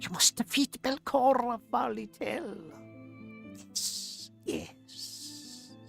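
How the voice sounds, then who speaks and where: A put-on character voice, fairly high in pitch, comes over faint music in the background. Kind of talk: familiar tone. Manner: mysterious, urging.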